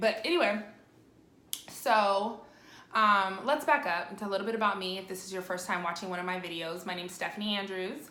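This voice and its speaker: A woman talks at a very fast pace with ordinary pitch variation. Room echo can be heard. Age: 30s. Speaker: vlogger with lupus. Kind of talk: personal video update. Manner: casual, filler-heavy.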